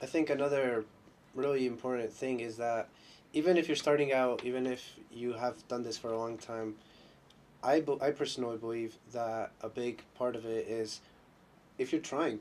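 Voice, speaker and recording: At a moderate pace, a man talks in an ordinary speaking voice, his medium pitch carrying fairly even intonation. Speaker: podcast host. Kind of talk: casual podcast interview.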